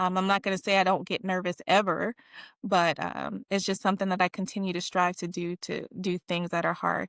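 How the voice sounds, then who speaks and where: Soft-spoken female voice with monotone, flat intonation on a very clean recording with a silent background. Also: medium pitch for a woman. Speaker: Air Force veteran and accountant. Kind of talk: interview testimony.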